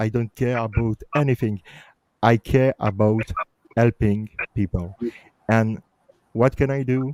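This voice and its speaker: A man with a Belgian accent at a fairly slow pace, in a dry, close sound with no echo. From Belgium. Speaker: justice campaigner. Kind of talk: casual chat.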